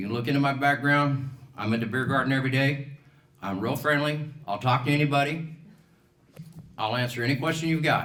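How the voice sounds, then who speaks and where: Amid audible room echo, a man with an American accent speaks at a fairly high pitch and fairly quick pace, with a bright, sharp tone, fairly even intonation and long, frequent pauses. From Colorado, US. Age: 60s. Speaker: political candidate, business owner. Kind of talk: campaign speech.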